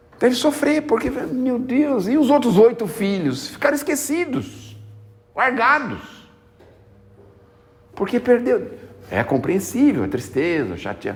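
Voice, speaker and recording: Noticeable background noise surrounds a man who talks very slowly, with long, frequent pauses. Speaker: spiritist lecturer. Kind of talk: spiritist talk. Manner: conversational.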